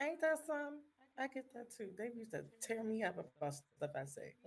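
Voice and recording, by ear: A woman speaks at a fairly quick pace in a high pitch, her voice making very wide pitch swings. Noticeable background noise sits behind her.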